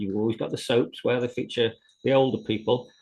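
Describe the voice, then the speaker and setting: A man talks with vocal fry. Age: 60s. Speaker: actor. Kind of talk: interview. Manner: halting.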